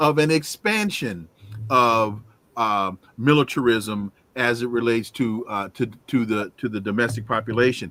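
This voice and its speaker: Recorded very cleanly against a silent background, with a dry, close sound and no echo, a man of medium pitch talks in a normal speaking voice at a moderate pace with ordinary pitch variation. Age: 60s. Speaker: podcast host. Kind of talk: interview. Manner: repetitive restarts.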